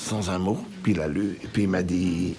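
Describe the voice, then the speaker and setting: A man's very deep, low pitch at a fairly slow pace, with noticeable background noise and audible room echo. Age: 80s+. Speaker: Holocaust survivor. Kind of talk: testimony.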